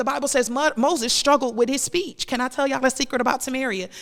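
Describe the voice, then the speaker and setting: Loud and animated, a woman talks at a very fast pace and a high pitch. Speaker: podcast host and minister. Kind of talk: preaching-style faith podcast monologue. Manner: loud, preacher-like delivery.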